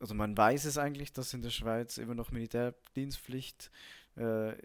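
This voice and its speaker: A man speaks fairly slowly in a monotone, flat intonation. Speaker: podcaster, army cook. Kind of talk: casual monologue. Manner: halting, many fillers.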